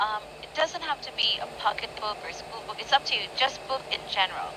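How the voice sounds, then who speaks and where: The speaker talks at a moderate pace, with very wide swings in pitch. Noticeable background noise runs under the voice. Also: woman. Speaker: English teacher. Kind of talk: online English lesson.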